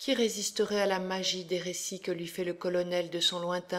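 In a flat, monotone delivery, a woman speaks at a fairly slow pace with a medium pitch, on a very clean recording with a silent background. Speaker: educational presenter. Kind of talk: audiobook-style literary reading of a novel extract, after a lecture-like presentation. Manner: measured, steady and expressive, with even literary diction; clear and formal, like a teacher.

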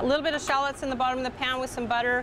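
Over clear background noise, a woman talks at a very fast pace in a high pitch with little pitch movement.

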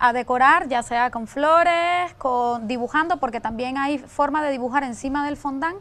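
A woman's high-pitched voice at a moderate pace, with ordinary pitch variation. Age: young. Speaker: pastry chef; guest. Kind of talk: cooking demonstration. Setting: TV studio. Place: studio. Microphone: lapel.

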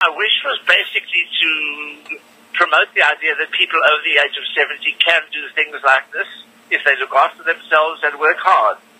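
A man talks rather briskly while clear background noise carries on around him. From South Africa. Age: 70s. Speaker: heart surgeon and long-distance swimmer. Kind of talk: radio interview answer.

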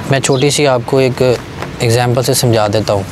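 Clear background noise sits behind a man of medium pitch. He talks at a moderate pace with fairly even intonation.

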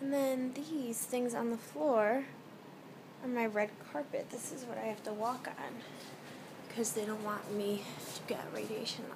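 A woman talks at a fairly slow pace with noticeable background noise behind her. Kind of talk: casual vlog chat. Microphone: phone near.

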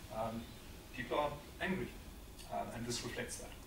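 A man talks at a medium pitch. Noticeable background noise runs behind him. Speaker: risk analyst and think tank director; risk analyst. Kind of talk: lecture. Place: hall. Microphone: amateur recording by an attendee, poor sound; camera far.

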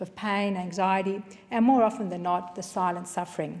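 A woman speaks at a fairly quick pace with an Australian accent. Her intonation stays fairly even. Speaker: member of parliament. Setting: parliament chamber. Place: hall. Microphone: podium.

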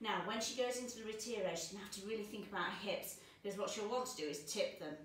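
Audible room echo surrounds the voice. A woman talks at a very fast pace. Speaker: dance teacher. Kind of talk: tutorial. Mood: warm, encouraging. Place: home room. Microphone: camera far.

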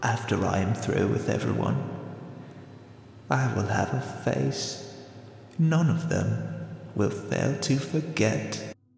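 Over faint music in the background, a man performs a put-on character voice at a fairly slow pace with strong echo. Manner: cold, brooding, haughty.

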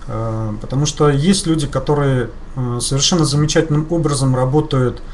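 The speaker talks at a moderate pace with ordinary pitch variation over light background noise. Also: man. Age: 40s. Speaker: network marketing leader; guest. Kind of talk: webinar interview. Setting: webinar. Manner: halting, many fillers. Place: studio.

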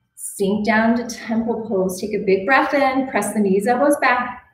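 Against light background noise and audible room echo, a woman with a fairly high pitch speaks at a fairly slow pace, with ordinary pitch variation. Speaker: yoga instructor. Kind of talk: guided yoga class, cueing poses and breath. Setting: online video class recorded at the gym. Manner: calm, soothing, encouraging; rhythmic, steady cues. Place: gym.

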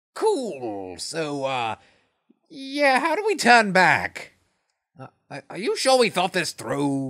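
With long, frequent pauses and a very slow pace, the speaker uses a put-on character voice at a middle pitch.

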